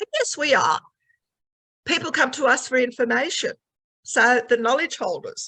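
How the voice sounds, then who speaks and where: Pitched high with a bright, sharp tone, a woman uses a raised, projected voice and lively intonation at a moderate pace. She leaves long, frequent pauses, and the sound is dry and close with no echo. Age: 70s. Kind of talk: webinar panel talk.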